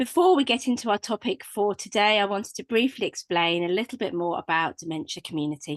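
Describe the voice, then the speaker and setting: A woman with a British accent, very fast with hardly any pauses and lively intonation. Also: medium pitch for a woman. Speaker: webinar host. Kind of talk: webinar introduction and housekeeping. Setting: online webinar.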